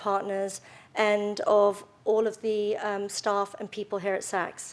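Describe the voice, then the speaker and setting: A woman's medium-pitched voice with a British accent, flat and monotone, at a fairly slow pace, on a very clean recording with a silent background. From London, England. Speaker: retail executive. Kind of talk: speech. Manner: hesitant, many fillers.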